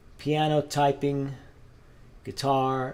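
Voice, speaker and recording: Speaking in a Spanish accent, a man is heard. His voice sits rather high. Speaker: guitarist and channel host. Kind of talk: casual live-stream chat while practicing. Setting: live stream. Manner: casual, halting with fillers.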